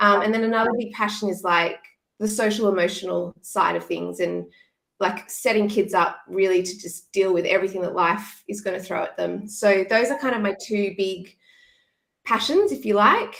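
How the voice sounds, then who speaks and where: A woman with an Australian accent, medium-pitched with vocal fry, ordinary pitch variation and a moderate pace. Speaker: former teacher, education content creator. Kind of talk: casual interview.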